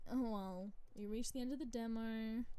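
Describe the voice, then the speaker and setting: This woman has an Australian accent and an animated tone. Her pace is fairly slow. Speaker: vtuber streamer. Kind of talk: live game stream commentary.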